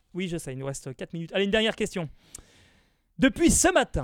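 A man speaks at a high pitch. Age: 20s. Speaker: radio host. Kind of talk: casual chat.

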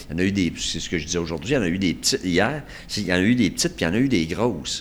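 In a very clean recording with a silent background, a man with a very deep, low voice speaks at a very fast pace with lively intonation. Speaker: retired surgeon, hospital administrator. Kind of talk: casual interview.

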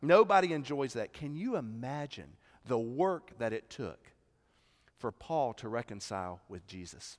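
In a Southern US accent, the speaker goes at a fairly slow pace with very wide pitch swings and big swings in loudness, captured in a very clean recording with a silent background. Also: man, medium pitch for a man. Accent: Southern American. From US South, South Carolina Midlands. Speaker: pastor. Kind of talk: sermon. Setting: church.

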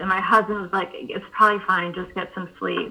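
A woman talks at a moderate pace with a medium pitch and ordinary pitch variation. It is an ordinary speaking voice. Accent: American. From North Carolina. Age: 30s. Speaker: author and maternal mental health advocate. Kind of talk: interview.

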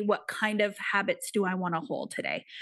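A woman speaks at a moderate pace with a fairly high pitch. She has a plain, everyday voice. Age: 40s. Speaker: success and manifestation coach. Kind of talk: interview.

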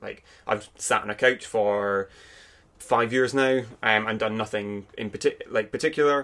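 A bright, sharp voice with an Aberdeen accent and fairly even intonation. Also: man. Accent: Aberdeen Scottish. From Scotland, Aberdeen. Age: 20s. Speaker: podcast guest. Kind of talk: casual chat. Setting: at home.

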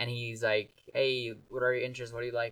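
A man's medium-pitched voice at a very fast pace. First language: Gujarati. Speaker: podcast guest, music maker. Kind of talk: casual chat.

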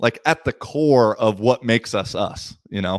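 In a very clean recording with a silent background, a man with a normal speaking voice talks at medium pitch with ordinary pitch variation, the sound dry and close with no echo. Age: 30s. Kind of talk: casual chat.

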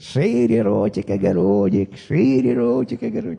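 A man puts on a shaky, cackling character voice at medium pitch, speaking at a moderate pace. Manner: cackling, smiling.

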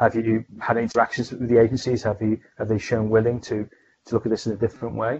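Somewhat breathy and medium-pitched, a man rattles along at a very fast pace in a monotone, flat intonation. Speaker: pharmaceutical scientist and podcast host. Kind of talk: interview.

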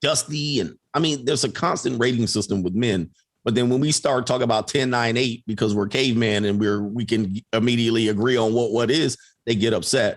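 Delivered at a fairly quick pace in a plain, everyday voice, the speech has very even loudness and ordinary pitch variation. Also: man, medium pitch for a man. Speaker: coach and online content creator. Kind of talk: casual conversation. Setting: live stream.

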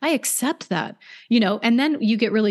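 A woman with an American accent speaks with lively intonation. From US West Coast (Oregon/California). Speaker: hypnotherapist. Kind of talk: interview conversation. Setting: remote call.

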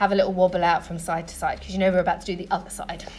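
A woman speaks in a soothing, gentle tone. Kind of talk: guided yoga class instruction. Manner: calm, rhythmic, cue-by-cue coaching; clear and encouraging; soothing and gentle in breathwork, brisk and directive in the flow.

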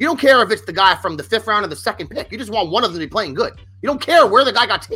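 In a raised, projected voice, a man speaks at a very fast pace, animated and high-pitched, with a bright, sharp tone and very wide pitch swings. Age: 40s. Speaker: sports podcast host. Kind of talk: casual chat. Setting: studio.

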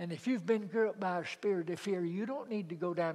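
With a Southern US accent, a man talks at a high pitch. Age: 70s. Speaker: preacher. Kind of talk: sermon. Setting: church.

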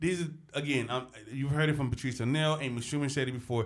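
A fairly high-pitched man's voice with ordinary pitch variation. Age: 30s. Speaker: podcast co-host. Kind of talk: casual chat. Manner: halting.

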